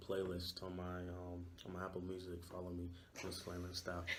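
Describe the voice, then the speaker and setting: In a room with audible echo, a man talks at a fairly quick pace, his very deep, low voice somewhat breathy. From Nigeria, Lagos. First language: Yoruba. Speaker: university student. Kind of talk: interview. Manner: hesitant, many fillers.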